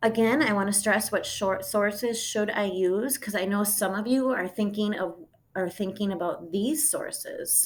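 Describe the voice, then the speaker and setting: At a moderate pace, a woman speaks at a medium pitch in an ordinary speaking voice with ordinary pitch variation. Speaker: high school English teacher. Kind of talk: recorded lesson.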